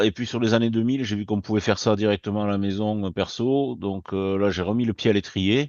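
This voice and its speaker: A man talks with fairly even intonation and a fairly low pitch. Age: 60s. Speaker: trading trainer. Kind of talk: casual webinar talk. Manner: halting, many fillers.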